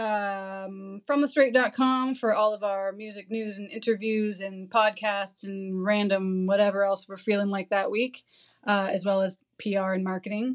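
A woman with a Canadian accent and a normal speaking voice talks at a medium pitch and a fairly slow pace, her intonation fairly even and her loudness swinging widely. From St. Catharines, Ontario. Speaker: marketing and PR agency co-owner. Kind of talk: casual interview chat.

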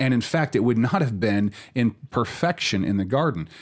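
Here is a man with an unremarkable speaking voice, medium in pitch and lively in intonation. He keeps a moderate pace on a very clean recording with a silent background. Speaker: pastor. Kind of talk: church podcast discussion and teaching.

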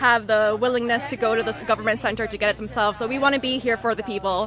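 A woman with an American accent talks very fast in a fairly high pitch with ordinary pitch variation. Noticeable background noise is present. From Sullivan County, New York. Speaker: political volunteer. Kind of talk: street interview. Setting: outdoors.

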